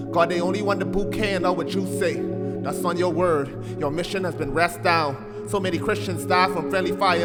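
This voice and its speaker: Over music in the background, a man with a fairly high pitch speaks at a moderate pace with very wide pitch swings and hardly any pauses. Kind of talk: spoken word poetry performance.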